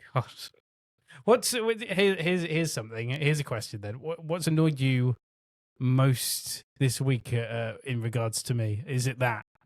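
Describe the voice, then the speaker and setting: With a West Country accent, a man talks at a moderate pace in a medium pitch, his intonation lively. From West Country, England. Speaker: podcast co-host. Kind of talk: casual chat. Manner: halting.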